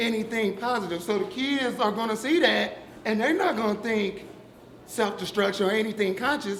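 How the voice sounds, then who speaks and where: A man with a high voice speaks loudly at a moderate pace with ordinary pitch variation, amid noticeable background noise and audible room echo. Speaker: audience member. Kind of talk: public discussion.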